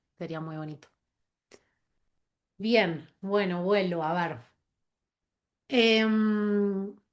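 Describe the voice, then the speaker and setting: At a very slow pace with long, frequent pauses, a woman speaks at medium pitch with ordinary pitch variation. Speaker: yoga teacher. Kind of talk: online talk.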